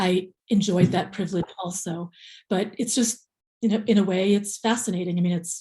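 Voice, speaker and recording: A woman speaks in a dark, mellow tone at medium pitch, with an American accent. Her voice is somewhat breathy, her intonation fairly even and her pace moderate. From USA, came from the Philippines at age two. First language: Tagalog. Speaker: memoir author. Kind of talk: interview. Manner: hesitant, many fillers.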